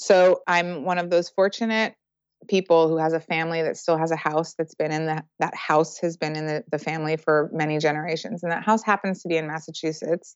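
This woman speaks in an American accent with an unremarkable speaking voice. Her pitch is fairly low, her pace moderate and her intonation fairly even. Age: 40s. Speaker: circus director and choreographer. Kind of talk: interview.

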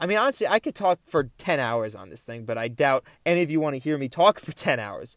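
In a very clean recording with a silent background and a dry, close sound with no echo, a man's pitch swings very widely. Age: 20s. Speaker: podcast host. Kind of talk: solo casual monologue. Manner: animated.

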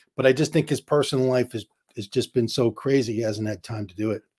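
With a New York accent, a man speaks at a very fast pace with ordinary pitch variation in a very clean recording with a silent background. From New York, Queens. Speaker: comedian. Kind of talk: casual chat.

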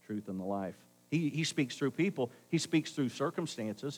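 In a very clean recording with a silent background, a man speaks at a moderate pace and fairly high pitch, his pitch swinging very widely. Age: 60s. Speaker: pastor. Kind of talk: Sunday sermon, folksy storytelling woven with pleading gospel exhortation. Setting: church service with live congregation. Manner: conversational and earnest, punctuated with rhetorical call-and-response asking for amens; emphatic repetition, insistent and rising as he drives points home.

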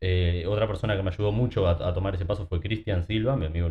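With fairly even intonation, the words pour out at a very fast pace. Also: man. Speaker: fitness coach. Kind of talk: casual chat.

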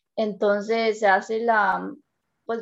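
A woman speaks with a Costa Rican accent at a fairly high pitch. The background is quiet. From Costa Rica, San Carlos. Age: 20s. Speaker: engineering student. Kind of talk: interview.

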